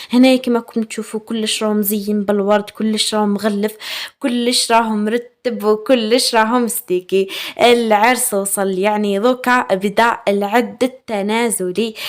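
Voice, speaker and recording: A woman with a fairly high pitch and a warm tone speaks at a fairly slow pace in a monotone, flat intonation. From Algeria, Chaoui region (Aurès/Batna). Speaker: lifestyle vlogger. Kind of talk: casual vlog talk to viewers. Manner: warm, chatty with fillers.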